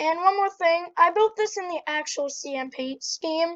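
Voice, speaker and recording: Against a quiet background, a woman speaks with ordinary pitch variation. The sound is dry and close, with no echo. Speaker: Minecraft tutorial youtuber. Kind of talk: tutorial.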